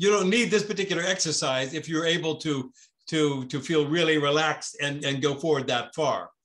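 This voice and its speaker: A man's fairly high voice, bright and sharp in tone, at a moderate pace with ordinary pitch variation over a quiet background. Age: 70s. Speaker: tai chi and qigong teacher; qigong teacher. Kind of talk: online class with group discussion. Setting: video call. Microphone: video call.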